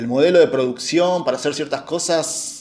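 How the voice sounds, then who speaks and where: Ordinary pitch variation runs through a plain, everyday voice going at a moderate pace. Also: man. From Argentina, Buenos Aires area. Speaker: film director and screenwriter. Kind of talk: casual chat. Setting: at home, remote call.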